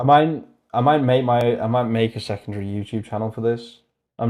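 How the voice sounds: The clip is a natural reading voice with ordinary pitch variation. The background is quiet.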